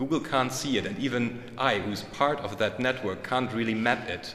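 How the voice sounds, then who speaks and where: With a German accent, a man of medium pitch speaks at a moderate pace with ordinary pitch variation, amid noticeable background noise and audible room echo. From Germany. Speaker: conference speaker. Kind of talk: conference talk. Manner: hesitant, many fillers.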